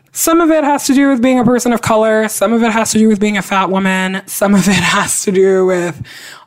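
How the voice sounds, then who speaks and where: A woman speaks in an animated tone with lively intonation. Noticeable background noise runs underneath. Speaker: podcast co-host. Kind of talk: casual chat.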